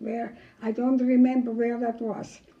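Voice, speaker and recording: A woman's fairly high-pitched voice at a fairly slow pace, against noticeable background noise. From Germany. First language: German. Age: 80s+. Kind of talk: interview answer.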